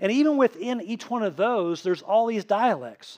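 With a slight Tennessee accent, a man talks fairly quickly in a high pitch with ordinary pitch variation, the sound dry and close with no echo over a quiet background. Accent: slight Southern US (Tennessee). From Tennessee, US South. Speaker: pastor. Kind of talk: sermon. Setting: church. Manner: casual, conversational.

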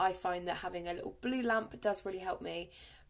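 An upbeat woman's voice in an English accent, ordinary pitch variation, and a quiet background. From England. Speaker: podcast host. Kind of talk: solo podcast monologue, casual. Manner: chatty, upbeat.

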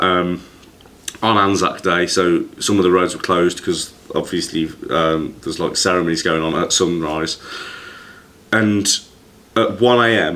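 The speaker has an English accent and fairly even intonation. The pace is fairly slow, with long, frequent pauses. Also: man, very deep, low pitch for a man. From England. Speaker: podcast host. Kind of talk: casual chat.

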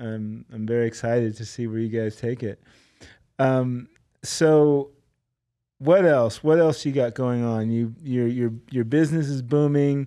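With a dark, mellow tone, a man speaks at a medium pitch and a fairly slow pace. His intonation stays fairly even over a quiet background. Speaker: podcast host. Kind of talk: casual chat.

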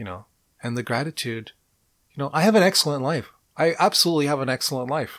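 A man speaks very fast in a fairly high voice, with lively intonation and big swings in loudness. Long pauses come often, and the recording is very clean with a silent background. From Montreal, Quebec, Canada. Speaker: career coach podcaster. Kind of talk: solo podcast monologue.

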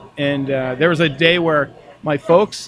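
Over noticeable background noise, a man with an American accent speaks at a moderate pace with fairly even intonation. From Minnesota. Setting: bar lounge.

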